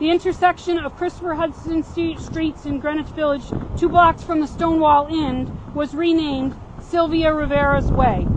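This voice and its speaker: Against noticeable background noise, a woman with a high pitch speaks at a moderate pace in a monotone, flat intonation. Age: 60s. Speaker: activist speaker. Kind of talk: prepared speech. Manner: reading aloud with stumbles.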